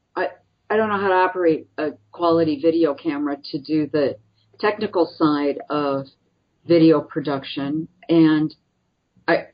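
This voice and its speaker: Speaking at a moderate pace, a woman with a Midwestern US accent has a fairly low pitch. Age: 60s. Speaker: nonprofit president. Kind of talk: interview.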